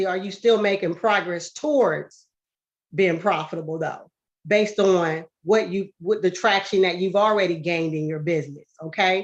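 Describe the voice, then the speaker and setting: Talking at a moderate pace, a woman uses a medium pitch. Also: ordinary pitch variation. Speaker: business speaker. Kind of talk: business presentation. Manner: animated.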